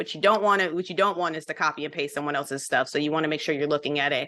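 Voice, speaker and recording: A woman with a very deep, low pitch speaks in a bright, sharp tone with fairly even intonation. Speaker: mentor and trainer. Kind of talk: training session. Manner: fast.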